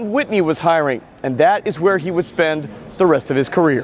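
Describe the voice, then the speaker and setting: A man's pitch swings very widely as he speaks at a moderate pace against noticeable background noise. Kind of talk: corporate documentary narration.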